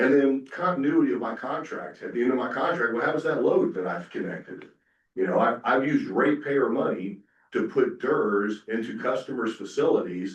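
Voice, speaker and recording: Fairly quick speech from a man with a slight Southern US accent. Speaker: software company representative, panelist. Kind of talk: conference presentation. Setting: conference breakout session with audience. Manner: casual, filler-heavy.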